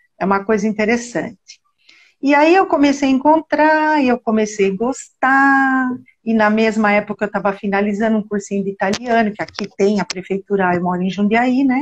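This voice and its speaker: A woman talks at a moderate pace with a fairly high pitch and a somewhat breathy voice. The sound is dry and close, with no echo. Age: 60s. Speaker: genealogy researcher. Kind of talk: casual interview on live stream.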